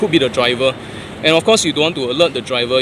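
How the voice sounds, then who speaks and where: With noticeable background noise, a man speaks in a Singaporean accent. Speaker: traffic warden. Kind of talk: tutorial. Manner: casual, conversational.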